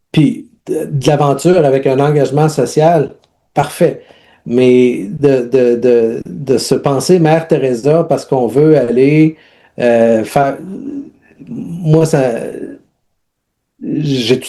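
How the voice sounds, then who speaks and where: In a Quebec accent, the speaker talks at a very slow pace with a dark, mellow tone, ordinary pitch variation and long, frequent pauses. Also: man, fairly high pitch for a man. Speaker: humanitarian aid worker and leadership coach. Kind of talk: interview testimony. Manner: halting, many repetitions and fillers.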